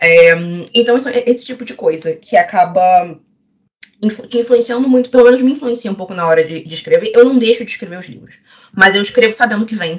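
A woman talks at a fairly quick pace in a plain, everyday voice, her pitch fairly high with ordinary variation. Her loudness swings widely. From Rio de Janeiro, Brazil. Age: 20s. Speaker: romance novelist. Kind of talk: casual panel discussion.

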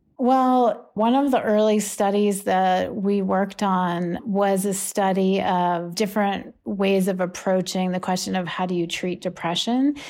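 Using a normal speaking voice, a woman of medium pitch talks at a fairly slow pace with ordinary pitch variation. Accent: American. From US, Pittsburgh. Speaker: psychology professor. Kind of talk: interview conversation.

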